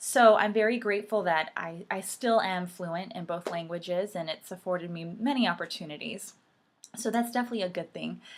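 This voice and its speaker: At a moderate pace, a woman with a medium pitch talks with lively intonation. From US, of Puerto Rican family. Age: 30s. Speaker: vlogger. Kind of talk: personal talk to camera. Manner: hesitant, many fillers.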